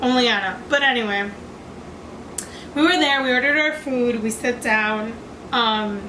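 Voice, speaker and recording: A woman speaks loud and high in an animated tone with ordinary pitch variation, in audible room echo. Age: young. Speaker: YouTuber. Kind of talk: storytime vlog.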